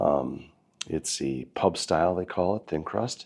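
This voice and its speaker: With vocal fry, a man talks at a fairly slow pace. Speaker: chef and food reviewer. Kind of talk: casual food review vlog. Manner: casual, conversational with fillers.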